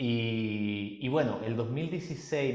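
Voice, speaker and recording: Amid noticeable background noise and audible room echo, a man of medium pitch speaks at a very slow pace. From Chile. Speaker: musician and personal development workshop leader. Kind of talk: podcast interview.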